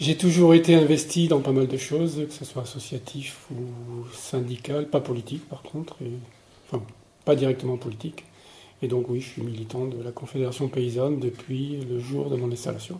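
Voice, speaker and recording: A man with a dark, mellow, somewhat breathy voice talks at medium pitch and a moderate pace, with fairly even intonation and big swings in loudness. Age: 60s. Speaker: retired farmer. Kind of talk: interview. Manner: hesitant, many filler words.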